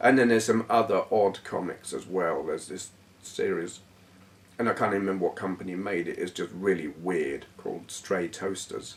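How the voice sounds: A man's low-pitched voice with a slightly husky edge. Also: ordinary pitch variation, moderate pace.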